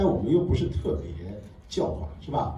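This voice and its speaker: A man's voice at a moderate pace, pitch swinging very widely, with noticeable background noise. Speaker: film director. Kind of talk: Q&A at film premiere. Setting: stage with audience. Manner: halting.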